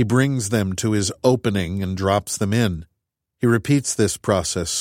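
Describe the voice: Against a quiet background, the voice offers plain reading aloud with ordinary pitch variation.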